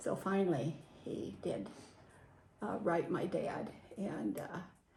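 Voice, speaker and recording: A woman with an American accent speaks at a very slow pace in a fairly low pitch, her tone dark and mellow with vocal fry. Her pitch swings very widely, and audible room echo surrounds her. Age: 80s+. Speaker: WW2-era farm witness. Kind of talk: interview.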